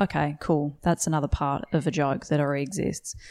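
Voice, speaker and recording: In an Australian accent, a woman speaks in a very deep, low voice with ordinary pitch variation. The recording is very clean, with a silent background. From Western Australia, rural. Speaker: stand-up comedian. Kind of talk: casual interview. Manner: hesitant, many fillers.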